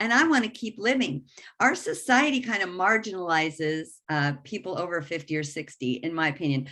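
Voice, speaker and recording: A woman talks at a fairly quick pace and fairly low pitch, her tone bright and sharp. Her pitch swings very widely against a quiet background. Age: 60s. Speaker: life coach. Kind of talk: workshop presentation.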